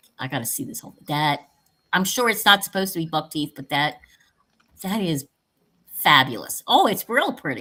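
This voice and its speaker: At a moderate pace, a woman with a fairly low, bright, sharp voice swings very widely in pitch and greatly in loudness, pausing long and often. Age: 60s. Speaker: paranormal talk show host, witch. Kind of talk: casual chat. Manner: animated.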